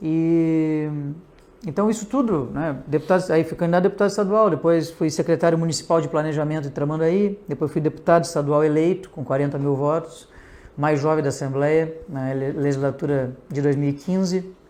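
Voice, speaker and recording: Over a quiet background, a man with a fairly high pitch and a dark, mellow tone talks at a moderate pace with ordinary pitch variation. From Rio Grande do Sul, Brazil (north coast). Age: 40s. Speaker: politician. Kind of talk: interview.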